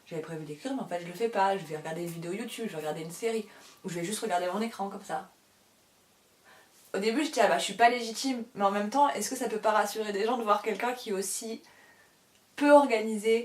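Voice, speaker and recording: Very fast yet broken by long, frequent pauses, a woman speaks at a medium pitch with ordinary pitch variation. Her loudness swings widely. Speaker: published author and book YouTuber. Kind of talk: casual chat to camera. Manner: rambling, hesitant with many fillers.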